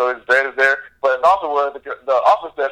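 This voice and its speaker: Fairly high and bright, sharp in tone, a man's voice moves at a fairly quick pace with an American accent. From Florida (Jacksonville). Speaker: music industry consultant. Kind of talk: interview.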